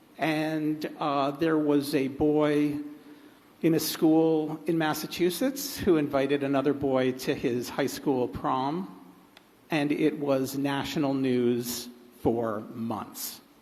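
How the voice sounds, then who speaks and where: A very slow man's voice with an American accent, fairly high pitch and fairly even intonation, in a room with audible room echo. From United States. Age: 60s. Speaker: writer on a festival panel. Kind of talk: panel discussion. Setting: stage with audience. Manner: hesitant, many fillers.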